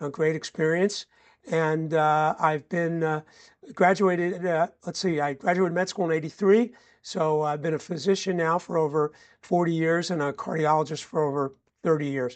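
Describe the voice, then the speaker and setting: In a plain, everyday voice, a man talks at a moderate pace with a fairly high pitch and fairly even intonation against a quiet background. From New Jersey, Bergen County. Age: 60s. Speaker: cardiologist. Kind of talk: podcast interview.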